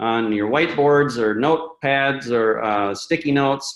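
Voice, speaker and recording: Medium pitch from a man, with ordinary pitch variation. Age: 40s. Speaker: webinar host. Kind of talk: casual chat. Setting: webinar. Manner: halting, many fillers.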